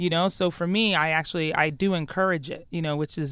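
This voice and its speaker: Animated speech comes at a very fast pace on a very clean recording with a silent background. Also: woman. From Ghana. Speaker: chief brand officer. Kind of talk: casual interview.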